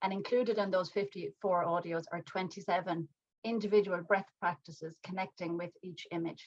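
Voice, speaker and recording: A woman speaks in an Irish accent with fairly even intonation. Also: medium pitch for a woman, moderate pace. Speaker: mindfulness teacher and artist. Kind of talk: talk to an online audience.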